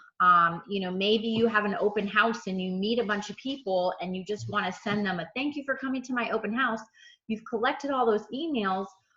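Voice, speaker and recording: A woman with a normal speaking voice, fairly high in pitch, at a moderate pace with ordinary pitch variation. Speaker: real estate trainer. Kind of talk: tutorial. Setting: video call.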